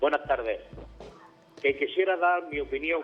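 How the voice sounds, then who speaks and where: Music plays in the background as a man talks fairly slowly. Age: 60s. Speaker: caller. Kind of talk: call-in opinion. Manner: halting.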